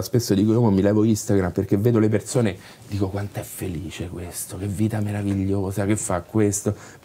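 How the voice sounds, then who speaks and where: A man's fairly low voice at a moderate pace. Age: 30s. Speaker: actor and writer; actor. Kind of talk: interview. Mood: reflective, candid. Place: bar.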